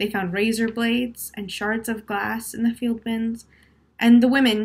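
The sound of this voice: A woman talks at a fairly slow pace, her pitch fairly high. Her voice carries a slightly husky edge.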